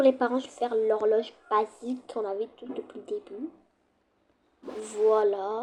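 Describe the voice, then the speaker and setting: A woman at a fairly slow pace, fairly even in intonation, with long, frequent pauses. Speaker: gaming youtuber. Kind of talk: gameplay commentary. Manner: loud; casual, hesitant.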